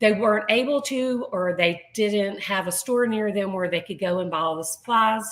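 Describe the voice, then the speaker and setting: Noticeable background noise sits behind a woman speaking with hardly any pauses and ordinary pitch variation. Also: medium pitch for a woman, moderate pace. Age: 60s. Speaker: artist and business owner. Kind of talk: interview.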